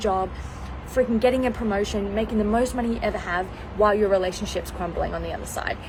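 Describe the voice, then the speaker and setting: Amid audible room echo and noticeable background noise, a woman speaks at a medium pitch. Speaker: mindset coach. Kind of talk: live stream motivational talk. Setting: outdoors on balcony. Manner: fast; animated.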